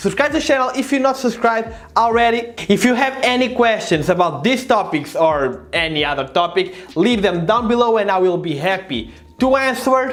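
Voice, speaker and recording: A man speaks at a high pitch with a non-native accent and lively intonation. His pace is moderate. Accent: foreign. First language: not English. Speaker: fitness youtuber. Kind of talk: tutorial. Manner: casual, direct to camera.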